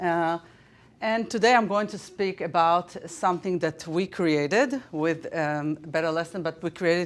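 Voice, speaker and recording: A woman's fairly low voice at a moderate pace, ordinary pitch variation, on a very clean recording with a silent background. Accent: Israeli. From Israel. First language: Hebrew. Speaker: teacher. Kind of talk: conference presentation. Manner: halting, many fillers.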